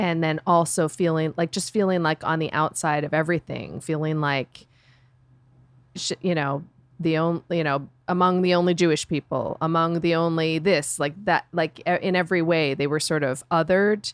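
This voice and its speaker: In a very clean recording with a silent background and a dry, close sound with no echo, a woman uses an ordinary speaking voice at a fairly low pitch, with fairly even intonation and a moderate pace. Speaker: book club member. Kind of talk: casual chat.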